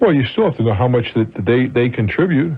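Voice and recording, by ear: A man's medium-pitched voice with a slightly husky edge, lively intonation and a fairly quick pace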